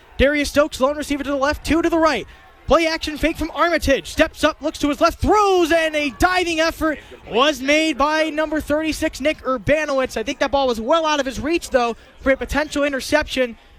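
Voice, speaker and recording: A man speaks at a fairly quick pace with an extremely high pitch and ordinary pitch variation. Noticeable background noise can be heard. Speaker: college football radio play-by-play announcer. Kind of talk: live radio sports play-by-play. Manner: tense, rapid-fire game description.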